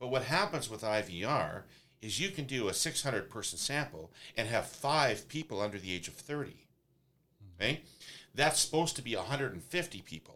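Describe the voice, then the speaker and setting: Here a man with a Canadian accent talks fairly quickly at a medium pitch, with vocal fry. His tone is bright and sharp, and his pitch swings very widely. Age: 50s. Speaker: pollster and political consultant. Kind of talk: discussion. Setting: studio.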